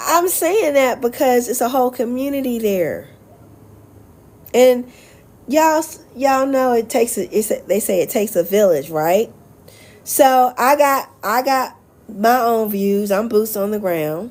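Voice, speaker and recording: With an American accent, a woman speaks at a high pitch and a fairly slow pace, her intonation lively. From US South, Charlotte, North Carolina. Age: 50s. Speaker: expat vlogger and life coach. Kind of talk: casual livestream chat. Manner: animated.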